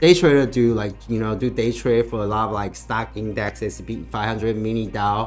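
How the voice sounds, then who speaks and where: Against music in the background, a man with a fairly low pitch speaks at a fairly quick pace, with hardly any pauses and ordinary pitch variation. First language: not English. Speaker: financial YouTuber, live streamer. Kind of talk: live stream market talk with chat. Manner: halting, many fillers and restarts.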